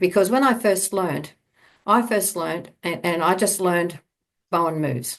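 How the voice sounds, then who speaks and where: With an Australian accent, a woman talks at a moderate pace in a fairly low pitch against a quiet background. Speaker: bodywork therapist and teacher. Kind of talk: online talk to a summit audience. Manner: halting, many fillers and repeats.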